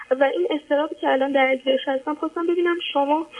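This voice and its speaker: Through noticeable background noise, a woman speaks at a moderate pace with a high pitch. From Iran. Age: 20s. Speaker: caller to advice show. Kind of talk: personal testimony. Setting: phone call.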